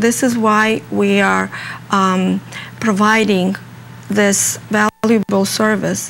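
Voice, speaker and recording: Speaking at a very slow pace with long, frequent pauses, a woman of medium pitch keeps her loudness very even over noticeable background noise. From Russia. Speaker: home health care organization representative. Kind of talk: interview. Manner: halting, many fillers.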